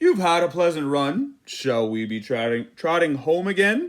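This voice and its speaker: Putting on a character voice, a man with a fairly high pitch makes very wide pitch swings. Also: moderate pace. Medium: read story. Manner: curt.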